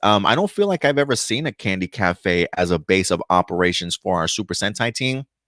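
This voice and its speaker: An unremarkable speaking voice from a man with an American accent, lively intonation and a moderate pace, in a very clean recording with a silent background and a dry, close sound with no echo. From New York (Bronx/Brooklyn), later New Jersey. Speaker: YouTube news and review host. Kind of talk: casual video commentary. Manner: casual, many fillers and self-corrections.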